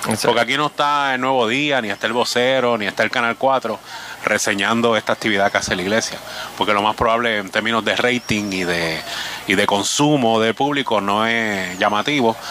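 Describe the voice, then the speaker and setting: Noticeable background noise sits behind a man who talks fairly quickly at a medium pitch, with ordinary pitch variation and very even loudness. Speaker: radio host. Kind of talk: live remote radio interviews. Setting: outdoor remote broadcast at a flea market.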